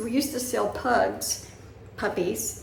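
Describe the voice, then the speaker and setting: A Southern US accent amid noticeable background noise and audible room echo. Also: woman. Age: 70s. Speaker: vlogger. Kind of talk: casual chat. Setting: indoors, bedroom.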